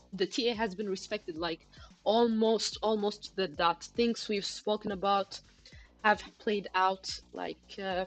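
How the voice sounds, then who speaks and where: A woman speaks at a medium pitch and a fairly slow pace. Music plays in the background. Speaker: crypto trading livestreamer. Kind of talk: live stream chart analysis and chat. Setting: live stream.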